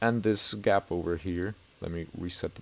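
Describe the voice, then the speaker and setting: Flat and monotone, a man talks at a very deep, low pitch. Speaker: game map-making tutorial creator. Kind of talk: tutorial. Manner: deliberately slow.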